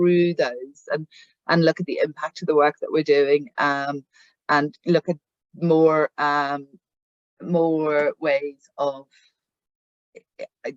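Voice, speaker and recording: A fairly slow pace in a Northern Irish accent. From Northern Ireland. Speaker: head of a patient charity. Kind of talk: meeting presentation. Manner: halting, many fillers and repeats.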